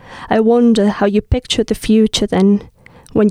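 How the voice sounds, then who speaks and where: A woman talks at a moderate pace in a medium pitch, her intonation monotone and flat. Her tone is dark and mellow, and the sound is dry and close with no echo. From southern Spain. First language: Spanish. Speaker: poet. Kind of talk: casual chat with poetry readings.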